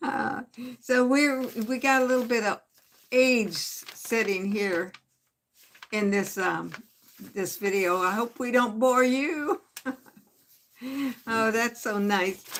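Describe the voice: A woman with a fairly high pitch and a fairly bright tone talks at a slow pace with fairly even intonation and long, frequent pauses.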